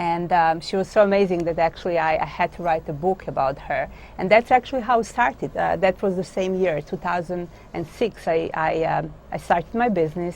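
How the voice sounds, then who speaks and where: Speaking at a fairly quick pace, a woman with a Croatian accent uses a fairly low pitch, vocal fry and ordinary pitch variation. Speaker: author and dog business owner. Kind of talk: interview. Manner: halting.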